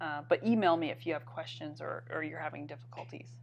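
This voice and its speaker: A woman's very deep, low voice at a moderate pace over a quiet background. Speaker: art teacher. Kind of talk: live stream critique. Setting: live stream. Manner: halting.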